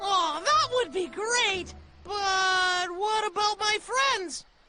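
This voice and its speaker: An extremely high-pitched cartoonish character voice at a very slow pace. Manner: cheerful, friendly.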